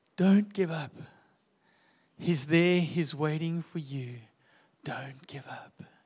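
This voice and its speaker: With long, frequent pauses, a man speaks at a very slow pace and fairly high pitch, ordinary in pitch variation and with big swings in loudness. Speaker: church leader. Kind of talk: prayer. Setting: church.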